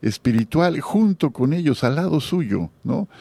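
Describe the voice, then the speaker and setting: Speaking at a very slow pace, a man with a dark, mellow tone makes very wide pitch swings, heard in a dry, close recording with no echo. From Mexico, Guadalajara. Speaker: radio host. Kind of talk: radio interview.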